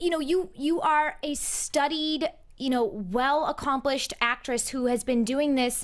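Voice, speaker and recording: Speaking at a high pitch, a woman moves at a fairly slow pace. Her loudness stays very even, with ordinary pitch variation. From Boston. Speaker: entertainment interviewer. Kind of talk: interview. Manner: talkative.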